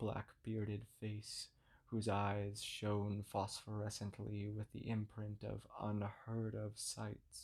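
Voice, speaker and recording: Soft-spoken and somewhat breathy, a man talks in a calm tone at a very slow pace with hardly any pauses, his fairly low voice monotone and flat. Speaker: narrator. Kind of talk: sleep story. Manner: soft, ethereal, calm.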